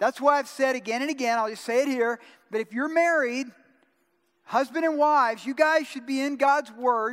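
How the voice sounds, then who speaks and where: Extremely high pitch from a man with an American accent, animated in tone, ordinary pitch variation, moderate pace. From US South, Georgia. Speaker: pastor. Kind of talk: sermon.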